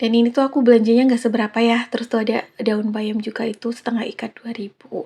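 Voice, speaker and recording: A woman's dark, mellow tone in a monotone, flat delivery. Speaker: housewife vlogger. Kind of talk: casual vlog narration. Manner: hesitant with fillers.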